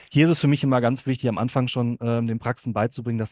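Talking at a very fast pace, a man is captured with a dry, close sound with no echo and a quiet background. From Hamm, Ruhr area, Germany. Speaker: dental billing consultant. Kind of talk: podcast interview.

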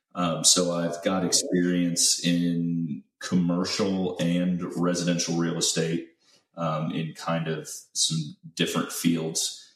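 A man with an American accent has a very deep, low pitch. He talks at a very slow pace in a monotone, flat intonation. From central Illinois. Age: 30s. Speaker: gym owner and business mentor. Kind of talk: interview.

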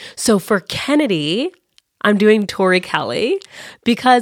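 A woman speaks at a fairly slow pace and medium pitch. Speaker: podcast host. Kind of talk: casual chat about books. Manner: animated, agreeable.

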